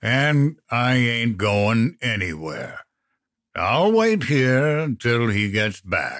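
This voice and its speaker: In a put-on character voice, a man drawls at a very slow pace and medium pitch, captured in a very clean recording with a silent background. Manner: slow, drawling.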